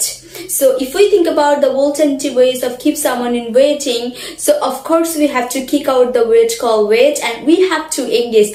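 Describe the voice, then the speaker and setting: Over noticeable background noise, a high-pitched woman speaks at a moderate pace with ordinary pitch variation. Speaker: English teacher. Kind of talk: English lesson to camera.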